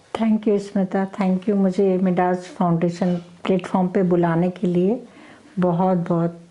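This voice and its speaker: Noticeable background noise runs under a woman's voice. Her pitch is medium, her intonation fairly even. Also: very even loudness. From Haryana, India (Jind). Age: 60s. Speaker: gold medalist athlete. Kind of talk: interview.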